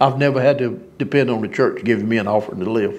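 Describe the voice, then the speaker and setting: A man with a Southern US accent, fairly quick, with ordinary pitch variation. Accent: US South. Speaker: preacher. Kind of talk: sermon. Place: church. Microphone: lapel.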